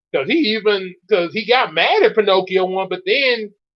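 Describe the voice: Plain reading aloud fills the recording.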